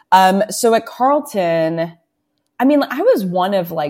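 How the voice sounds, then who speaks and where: A woman's dark, mellow tone with a Canadian accent. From Toronto, Canada (Scarborough). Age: 30s. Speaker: journalist and news publisher. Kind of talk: casual interview.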